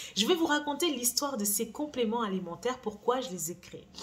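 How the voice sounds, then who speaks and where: Her pitch swings very widely as this woman speaks over noticeable background noise. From France. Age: 40s. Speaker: beauty brand founder and YouTuber. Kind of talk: vlog monologue. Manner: casual, hesitant with fillers.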